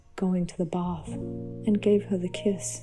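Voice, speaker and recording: With music playing behind her, a woman speaks very slowly in a calm tone with an Australian accent. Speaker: storyteller. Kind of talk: sleep story. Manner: calm, soft-spoken.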